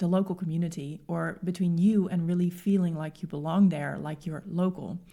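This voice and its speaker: A woman speaks at a moderate pace with a Dutch accent. Her tone is dark and mellow. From Netherlands. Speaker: podcast host and expat coach. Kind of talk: podcast monologue. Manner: conversational.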